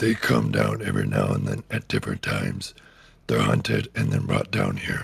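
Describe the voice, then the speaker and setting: Raspy and very deep, a man's put-on character voice runs at a moderate pace. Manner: menacing.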